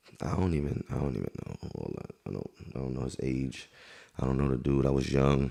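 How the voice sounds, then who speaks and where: Against noticeable background noise, a man with a very deep, low pitch talks at a fairly quick pace in a monotone, flat intonation. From Queens, New York City. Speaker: rapper. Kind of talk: interview. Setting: on camera. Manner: casual, filler-heavy.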